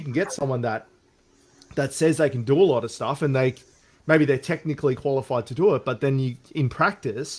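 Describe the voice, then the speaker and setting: At a fairly quick pace, a man speaks in a fairly high, somewhat breathy voice. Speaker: business owner and channel host. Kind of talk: interview. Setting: live stream. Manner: fast.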